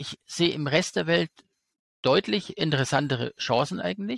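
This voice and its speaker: A man's fairly high voice with vocal fry, at a moderate pace, dry and close with no echo, on a very clean recording with a silent background. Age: 40s. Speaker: investor and finance YouTuber. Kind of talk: casual interview.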